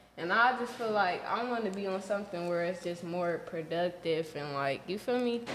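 A woman at a moderate pace with hardly any pauses and ordinary pitch variation, amid audible room echo and light background noise. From Los Angeles. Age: 20s. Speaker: musician and reality TV cast member; podcast guest. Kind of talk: casual chat; casual podcast chat, self-promotion. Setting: studio. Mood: relaxed, casual. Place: studio.

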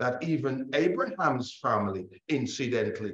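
A man speaks at a fairly slow pace. Room echo is audible. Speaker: bible class teacher. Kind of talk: sermon. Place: hall.

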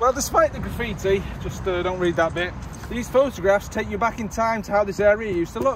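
A man talks at a fairly quick pace in a high pitch, with ordinary pitch variation. The sound is dry with no echo, though noticeable background noise comes through. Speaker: vlogger on a local history walk. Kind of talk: casual vlog chat. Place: street. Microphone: phone near.

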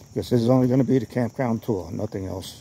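Over light background noise, a man speaks at a fairly quick pace with ordinary pitch variation. His voice is somewhat breathy, and the sound is dry with no echo. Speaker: campground tour vlogger. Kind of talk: casual vlog chat. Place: forest. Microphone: phone near.

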